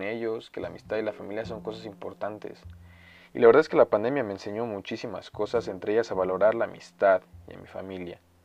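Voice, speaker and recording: Talking very fast, a man speaks at a medium pitch. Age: 20s. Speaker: podcast host. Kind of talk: solo monologue. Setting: home recording at computer. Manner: casual.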